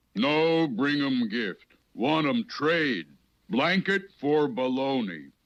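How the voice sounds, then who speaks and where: A man does a cartoonish character voice at a fairly high pitch, with very wide pitch swings. He speaks very slowly at a very even loudness. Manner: clipped broken speech, chuckling.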